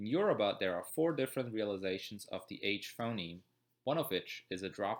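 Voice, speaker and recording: A man with a German accent, fairly low in pitch, with lively intonation at a fairly quick pace, on a very clean recording with a silent background. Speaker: student. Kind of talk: educational narration.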